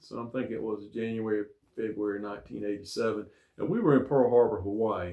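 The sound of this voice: A man speaks at a fairly quick pace in a fairly low, dark, mellow voice with vocal fry and ordinary pitch variation.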